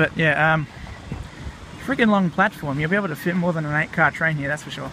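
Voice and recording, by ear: Against faint background noise, a man speaks at a fairly quick pace in a fairly high, bright, sharp tone with ordinary pitch variation.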